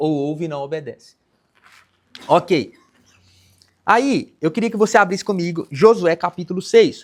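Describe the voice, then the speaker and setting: High male voice at a moderate pace, its pitch varying in an ordinary way. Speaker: pastor. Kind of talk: sermon.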